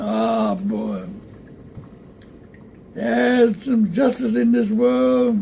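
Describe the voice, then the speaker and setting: A man with an American accent talks at a very slow pace, leaving long, frequent pauses. Noticeable background noise runs under his speech. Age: 80s+. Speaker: Tuskegee Airman veteran. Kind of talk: interview answer, reminiscing.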